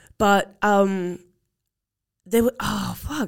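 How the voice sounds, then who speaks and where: A woman speaks in a New Zealand accent. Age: young. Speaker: podcast host. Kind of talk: casual chat.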